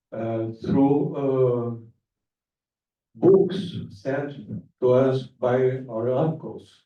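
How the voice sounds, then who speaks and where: Amid audible room echo, a man at medium pitch speaks at a very slow pace with ordinary pitch variation and long, frequent pauses. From grew up abroad, Brazilian diplomat family. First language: Spanish. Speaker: diplomat. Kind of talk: public speech. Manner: halting, many fillers.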